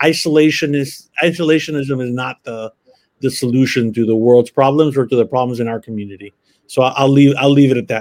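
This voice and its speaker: In a Spanish accent, a man talks at a fairly quick pace with a medium pitch and fairly even intonation. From Miami, Florida. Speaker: university executive. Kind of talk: interview. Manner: halting, many fillers.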